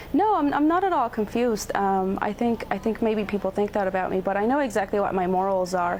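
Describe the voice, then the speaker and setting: Amid noticeable background noise, a woman speaks at a very fast pace with hardly any pauses and very even loudness. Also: medium pitch for a woman, ordinary pitch variation. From Texas (born in Mexico City). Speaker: undocumented immigrant activist. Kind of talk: TV news interview.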